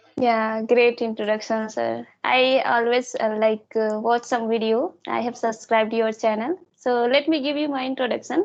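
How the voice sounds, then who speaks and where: In an Indian accent, a woman speaks at a fairly high pitch and a moderate pace. Her intonation is fairly even, with hardly any pauses. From India, Chhattisgarh. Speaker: English learner YouTuber. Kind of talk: interview. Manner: halting.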